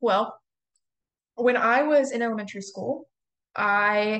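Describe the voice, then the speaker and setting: At a fairly slow pace, a woman speaks. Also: quiet background. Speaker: pre-service music teacher presenting a session. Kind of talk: presentation.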